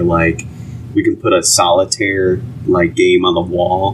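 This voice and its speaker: Background noise is noticeable here. The voice belongs to a man. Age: 30s. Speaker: podcast co-host. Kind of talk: casual chat.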